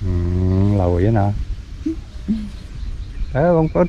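Over faint background noise, a man with a dark, mellow tone makes very wide pitch swings.

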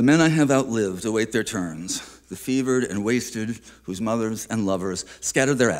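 Simply plain reading aloud

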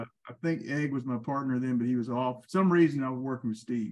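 A man's voice shows ordinary pitch variation, with a quiet background. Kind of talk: interview answer, storytelling. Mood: amused, reminiscing. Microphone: video call.

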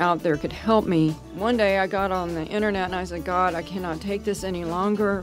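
Music in the background behind a woman with a medium pitch. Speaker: nurse. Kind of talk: testimonial.

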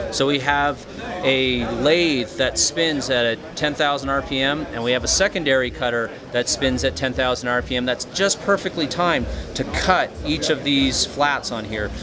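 A man talks at a fairly slow pace with ordinary pitch variation. Noticeable background noise runs underneath. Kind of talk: product demonstration. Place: hall. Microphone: phone near.

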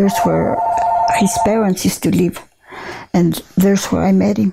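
A woman keeps a moderate pace while loud background noise plays. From southern Colorado. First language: Spanish. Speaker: retired rancher. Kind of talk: oral history interview answer. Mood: calm reminiscing. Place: home room. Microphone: lapel.

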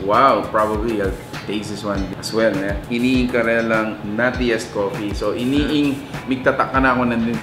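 With clear music in the background, a man speaks at a moderate pace using fairly even intonation. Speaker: food vlogger. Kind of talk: food review commentary. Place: cafe.

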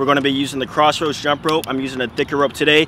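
Over light background noise, a man talks at a very fast pace in a dry sound with no echo. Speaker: fitness vlogger. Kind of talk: casual workout tutorial chat. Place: stadium. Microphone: camera far.

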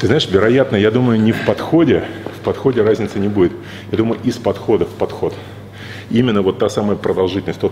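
Talking at a very fast pace with ordinary pitch variation, a man is heard over light background noise. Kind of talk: interview conversation. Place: gym.

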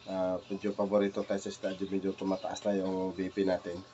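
A man speaks at a moderate pace with a fairly low pitch. Light background noise sits behind him. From Philippines. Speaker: cooking vlogger. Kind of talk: casual cooking vlog. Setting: home kitchen. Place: kitchen. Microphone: phone near.

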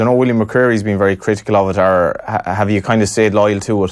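A man with an Irish accent talks at a fairly quick pace. The background is quiet. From Ireland. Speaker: radio sports host. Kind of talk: interview. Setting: studio. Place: studio. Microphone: studio mic.

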